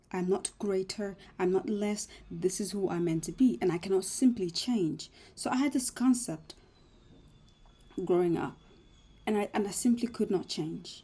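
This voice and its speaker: A woman with a medium-pitched, dark, mellow and somewhat breathy voice speaks at a moderate pace with ordinary pitch variation. She leaves long, frequent pauses. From Africa, moved to Australia at eight. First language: not English (learned English after eight). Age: 20s. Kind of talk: personal reflective monologue. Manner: mumbling, halting.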